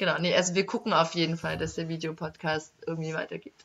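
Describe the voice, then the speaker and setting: With vocal fry and a bright, sharp tone, a woman speaks at a fairly quick pace in a fairly low pitch with fairly even intonation. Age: 20s. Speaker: young politician. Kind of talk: casual interview.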